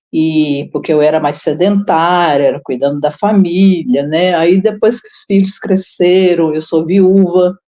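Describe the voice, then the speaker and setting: Very slowly, a woman speaks in a fairly low voice with ordinary pitch variation. Her tone is dark and mellow. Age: 60s. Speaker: retiree and senior university student. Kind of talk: online panel discussion.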